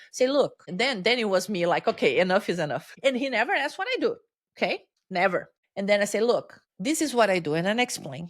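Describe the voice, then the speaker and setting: A woman's fairly high voice with a Brazilian Portuguese accent, fairly quick, with very wide swings in pitch. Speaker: change-management consultant. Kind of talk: interview conversation. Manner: halting, repeats words.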